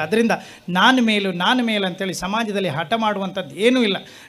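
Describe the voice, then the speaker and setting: A man talks in a coastal Karnataka accent at a high pitch for a man. His pitch varies in an ordinary way. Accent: Kundapura Kannada dialect. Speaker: comedian. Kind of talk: reflective talk to a live audience.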